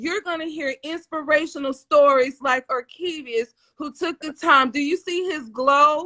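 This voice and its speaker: A woman's raised, projected voice in an American accent, high-pitched with ordinary variation, a bright, sharp tone, a fairly slow pace and a dry, close sound with no echo. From US South. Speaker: livestream talk show host. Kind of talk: live-streamed interview show. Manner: animated.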